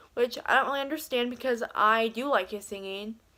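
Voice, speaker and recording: A woman speaks in an unremarkable speaking voice at a fairly high pitch with ordinary pitch variation. The recording is very clean with a silent background. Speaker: beauty and commentary youtuber. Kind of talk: casual vlog commentary.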